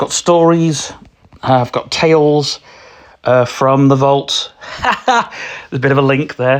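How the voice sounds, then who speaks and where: A man with a British accent speaks at a fairly high pitch and fairly even intonation. His pace is fairly slow, with long, frequent pauses. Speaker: podcast host. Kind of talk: casual solo podcast. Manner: halting, many fillers.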